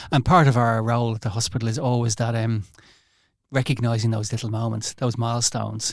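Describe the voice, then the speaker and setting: In a very clean recording with a silent background, a man with an Irish accent talks at a very fast pace, somewhat breathy, in a monotone, flat intonation. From Ireland. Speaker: hospital doctor. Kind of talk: podcast interview.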